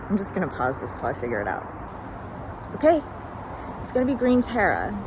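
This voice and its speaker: A woman at a medium pitch, talking at a very fast pace with very wide pitch swings, plus audible room echo and noticeable background noise. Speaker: spiritual channeler. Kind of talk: casual spiritual monologue. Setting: outdoors in a park.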